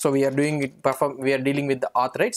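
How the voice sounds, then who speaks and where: A man talks. All around him is quiet. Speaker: programming instructor. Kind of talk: tutorial.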